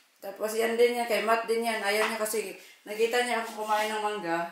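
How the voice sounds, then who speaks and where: A woman at a fairly quick pace, with audible room echo and light background noise. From Philippines, Cebu; Philippines. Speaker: family vlogger. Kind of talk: vlog talk to camera. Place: kitchen. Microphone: phone near.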